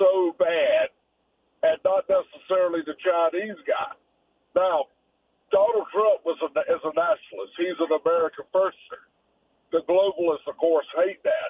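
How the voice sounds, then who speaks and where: A man's fairly slow delivery, broken by long, frequent pauses. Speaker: caller. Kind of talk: phone-in call. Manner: rambling.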